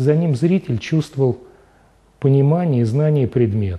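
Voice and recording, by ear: With lively intonation, a man talks at medium pitch in a dark, mellow tone. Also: moderate pace.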